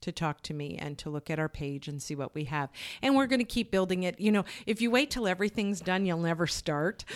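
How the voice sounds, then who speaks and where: A woman with an unremarkable speaking voice talks at a fairly quick pace and fairly low pitch, with lively intonation. The recording is very clean, with a silent background and a dry, close sound with no echo. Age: 50s. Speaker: grief counselor. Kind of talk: interview.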